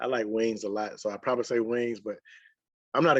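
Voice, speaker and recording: Over a quiet background, a man with a Mississippi accent talks at medium pitch and a fairly quick pace, the sound dry and close with no echo. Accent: Mississippi, country. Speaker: sports writer. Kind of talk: casual interview chat.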